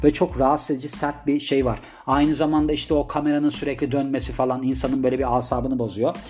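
A man speaks at a very fast pace with hardly any pauses, his fairly high pitch held in a fairly even intonation over music in the background. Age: 30s. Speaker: podcast host. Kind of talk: casual monologue.

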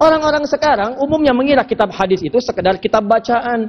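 A man at extremely high pitch, very fast pace, with an animated tone and lively intonation. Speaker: Islamic preacher. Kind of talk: sermon. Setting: mosque, live audience.

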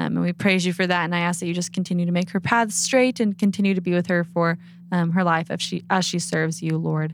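A very fast-paced woman with a fairly low pitch. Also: very clean recording, silent background. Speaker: podcast host. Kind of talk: casual chat. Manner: animated.

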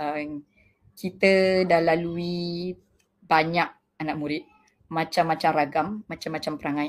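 With fairly even intonation, a woman speaks at a very deep, low pitch. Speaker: kindergarten principal. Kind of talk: panel discussion.

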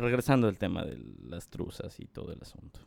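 A man is speaking. His pitch is medium. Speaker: podcast co-host. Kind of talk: casual chat.

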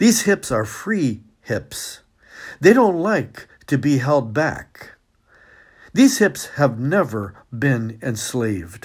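Warm-toned and somewhat breathy, a medium-pitched man speaks at a very slow pace with very wide pitch swings. The recording is very clean, with a silent background. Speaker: retired professor reading poems. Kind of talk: poetry reading, calm and warm, with a short spoken intro and sign-off. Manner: measured, unhurried, expressive reading with emphasis on key phrases; warm, friendly, gently conversational at start and end.

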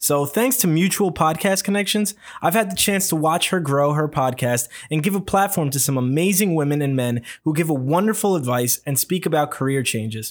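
This is an unremarkable speaking voice with very even loudness. The recording is very clean, with a silent background. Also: man, fairly high pitch for a man, fairly quick pace. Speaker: podcast host. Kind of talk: casual interview.

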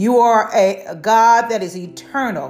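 A woman speaks in an animated tone. Music plays in the background. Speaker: prayer leader. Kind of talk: fervent intercessory prayer, with scripture reading. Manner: fervent, animated; rhythmic, repetitive, with hallelujah interjections.

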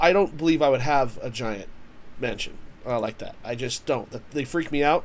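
A man with an unremarkable speaking voice talks at a moderate speed, his pitch varying in an ordinary way. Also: fairly high pitch for a man. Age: 30s. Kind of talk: casual chat.

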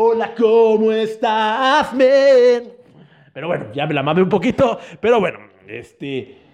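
Speaking at a very slow pace, a man with a high pitch uses lively intonation. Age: 30s. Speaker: podcast host. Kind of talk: casual chat.

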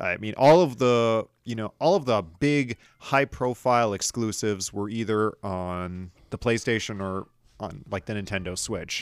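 A man with an ordinary speaking voice talks at a fairly slow pace, his fairly low pitch showing ordinary variation. The recording is very clean, with a silent background. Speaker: podcast host. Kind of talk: casual chat.

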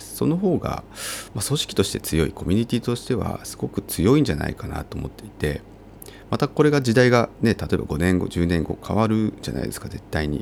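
Speaking at a fairly quick pace, a man with a fairly low pitch makes very wide pitch swings. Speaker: architecture firm co-owner and vacant-house activist podcaster. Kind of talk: casual solo podcast monologue.

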